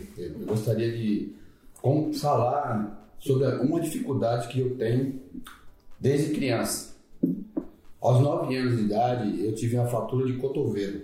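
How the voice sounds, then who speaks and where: A man's medium-pitched, somewhat breathy voice with a dark, mellow tone, ordinary pitch variation and long, frequent pauses, in audible room echo. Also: fairly slow pace. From Bahia interior, Brazil. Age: 50s. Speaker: fitness program participant. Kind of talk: casual chat. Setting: office.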